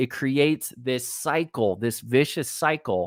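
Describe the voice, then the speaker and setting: A fairly high-pitched man with a Texas accent, animated in tone, with ordinary pitch variation, on a very clean recording with a silent background. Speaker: life coach. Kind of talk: live-streamed coaching talk.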